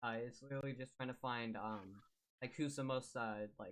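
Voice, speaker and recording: The man speaks at a fairly quick pace. His pitch is medium and his intonation fairly even. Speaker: streamer moderating online drama debate. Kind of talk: heated debate. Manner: fast.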